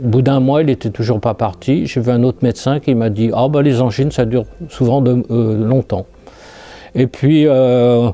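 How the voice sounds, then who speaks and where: Speaking at a fairly slow pace with hardly any pauses, a man uses a medium pitch, a dark, mellow tone and fairly even intonation. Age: 60s. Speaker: lymphoma survivor, retiree. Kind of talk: testimony. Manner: halting.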